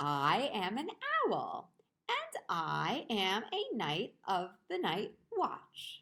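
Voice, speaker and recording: Putting on a character voice, a woman talks very slowly at a fairly high pitch. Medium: read story.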